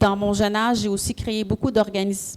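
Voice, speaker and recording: A woman with a strong Quebec accent speaks at a medium pitch in a monotone, flat intonation and a dark, mellow tone. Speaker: entrepreneur, panelist. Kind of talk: panel talk.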